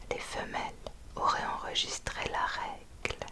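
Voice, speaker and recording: Whispered words from a woman, with noticeable noise behind her. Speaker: ASMR reader. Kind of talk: ASMR book reading. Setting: close to the microphone.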